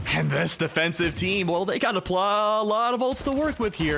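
At a moderate pace, a man talks in a high voice. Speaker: esports color commentator. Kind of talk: live esports match analysis. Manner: analytical, explanatory.

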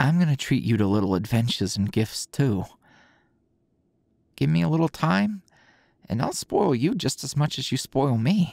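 A soft-spoken voice at a moderate pace, with long, frequent pauses, a quiet background and a dry sound with no echo. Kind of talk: intimate roleplay audio drama. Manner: soft, sleepy, affectionate murmur.

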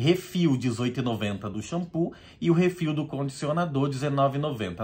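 Very slow, somewhat breathy speech from a man with a Brazilian accent, fairly high in pitch and full of very wide pitch swings. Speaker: business leader and product seller. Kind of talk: street seller pitch, product sales pitch. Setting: video blog. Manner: animated, upbeat. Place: home room. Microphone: phone near.

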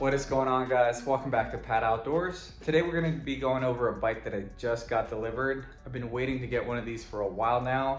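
A man talking at a very fast pace with hardly any pauses, amid audible room echo and light background noise. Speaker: vlogger. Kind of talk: casual vlog chat. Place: garage. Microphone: phone near.

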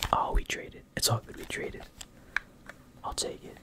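A man whispers against noticeable background noise. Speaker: ASMR content creator. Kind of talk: ASMR gaming video, casual talk to camera. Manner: whispered, soft-spoken.

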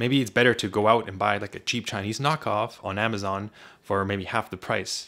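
Very fast speech with a bright, sharp tone and fairly even intonation. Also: man. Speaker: tech reviewer. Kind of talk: product review talk. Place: home room. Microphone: studio mic.

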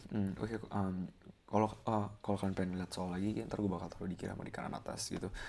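A man with a fairly low pitch and a dark, mellow tone speaks at a very fast pace. His intonation is monotone and flat, with light background noise. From Indonesia. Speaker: physics tutor. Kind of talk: tutorial. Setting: rented room. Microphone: webcam.

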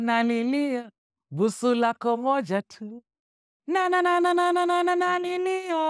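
Over a quiet background, a woman talks in an animated tone at a fairly slow pace, her pitch swinging very widely. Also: dry sound with no echo. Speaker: interview guest, singer. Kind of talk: casual interview answer, conversational. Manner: animated, storytelling. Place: studio. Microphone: studio mic.

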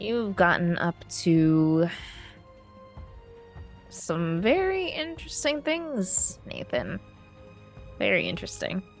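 A put-on character voice speaks at a fairly slow pace with long, frequent pauses while clear music plays in the background. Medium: actual play. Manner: cold, menacing.

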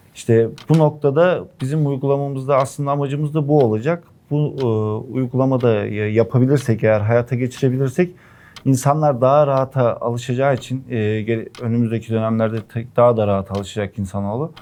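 A man's dark, mellow voice at a medium pitch moves fairly quickly. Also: ordinary pitch variation. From Erzurum, eastern Turkey. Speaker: entrepreneur. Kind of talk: investment pitch.

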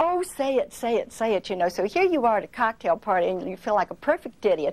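Very fast speech from a woman, fairly high in pitch, with very wide pitch swings. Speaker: telephone recording voice. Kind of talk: interview answer. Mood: amused, telling an anecdote. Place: studio.

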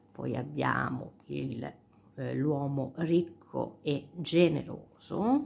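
With noticeable background noise behind her, a woman speaks at a very slow pace. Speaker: cartomancer, tarot and sibyl card reader. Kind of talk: casual talk to camera, card reading. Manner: soft-spoken, calm.

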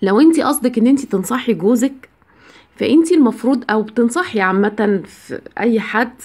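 A woman speaks in an Egyptian accent at a fairly high pitch. Her intonation is lively. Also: moderate pace. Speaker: biology teacher giving marriage advice. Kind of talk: advice monologue to camera. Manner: conversational, with filler sounds.

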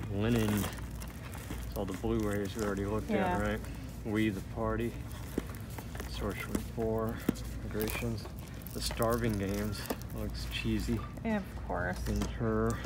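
Delivered at a fairly slow pace with long, frequent pauses, the dry voice has no echo, while loud background noise fills the recording. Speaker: shopper vlogger. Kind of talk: casual vlog chat. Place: shop. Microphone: phone near.

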